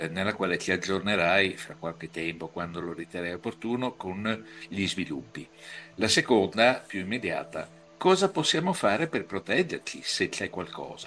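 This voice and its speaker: With music in the background, a man speaks at a fairly low pitch with ordinary pitch variation. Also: moderate pace. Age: 60s. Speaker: interviewer. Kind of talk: interview. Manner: halting.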